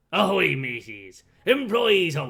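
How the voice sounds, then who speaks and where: A man adopts a put-on character voice, talking fairly slowly at a medium pitch. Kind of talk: playful, stock pirate speech.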